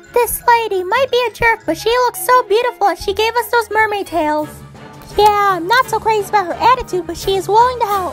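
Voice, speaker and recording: Over clear background music, a woman does a put-on character voice at an extremely high pitch and a fairly quick pace. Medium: machinima. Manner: lively, chatty.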